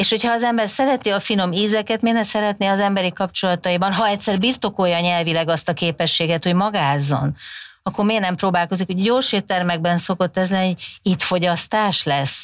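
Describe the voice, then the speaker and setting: A woman at a fairly quick pace, with ordinary pitch variation, very even loudness and a quiet background. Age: 50s. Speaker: communication researcher, professor; professor. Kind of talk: interview conversation. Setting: studio. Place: studio. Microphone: lapel.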